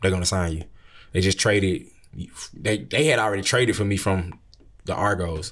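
Very deep and low in pitch, a man talks at a fairly quick pace with an American accent. The recording is very clean, with a silent background. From US South, Atlanta. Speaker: brand manager, former football player. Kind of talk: casual interview. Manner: halting, repeats words.

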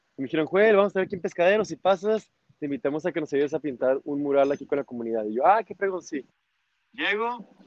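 A man talks at a very fast pace with lively intonation. His pitch sits fairly high. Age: 30s. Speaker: motorcycle traveler. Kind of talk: casual interview.

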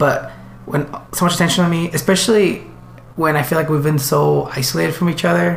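A man talks at a fairly quick pace with very even loudness. Audible room echo and noticeable background noise accompany him. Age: 20s. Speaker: podcast co-host. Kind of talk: casual chat. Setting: in person in a living room.

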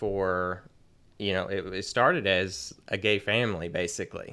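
The recording is very clean, with a silent background. A man with a plain, everyday voice speaks at a moderate pace and fairly low pitch. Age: 30s. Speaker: podcast host. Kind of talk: interview.

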